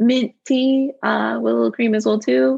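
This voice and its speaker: A woman with an American accent speaks at a moderate pace. Her fairly high voice is somewhat breathy. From New York, Brooklyn. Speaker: young adult novelist. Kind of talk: casual interview.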